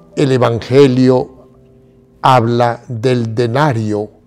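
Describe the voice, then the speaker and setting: Music sounds in the background. Over it, a man speaks at a medium pitch. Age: 80s+. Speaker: bishop. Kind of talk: catechesis talk. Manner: formal.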